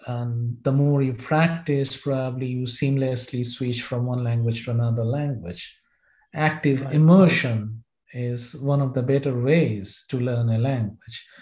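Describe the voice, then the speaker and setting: Speaking at a fairly slow pace, a man uses fairly even intonation in a dark, mellow tone that is somewhat breathy. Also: medium pitch for a man. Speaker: professor. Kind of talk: interview. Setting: video call. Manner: formal.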